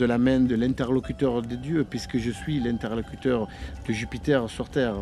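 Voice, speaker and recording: Music plays in the background as a man speaks at a moderate pace in a medium pitch with fairly even intonation. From Sicily. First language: Italian (Sicilian) (speaking French). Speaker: historical reenactor. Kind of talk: documentary interview. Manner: hesitant, many fillers.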